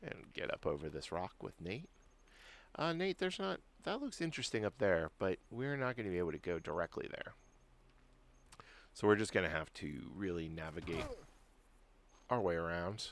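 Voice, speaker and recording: A soft-spoken man with a very deep, low pitch talks in a calm tone with lively intonation. He leaves long, frequent pauses. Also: moderate pace. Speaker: gaming streamer and consumer-agency union worker. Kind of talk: live game stream commentary. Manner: soft-spoken, calm.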